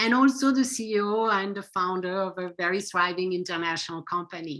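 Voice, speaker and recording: A woman with a French accent and a bright, sharp tone at a moderate pace. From France. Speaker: psychotherapist and author. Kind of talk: interview.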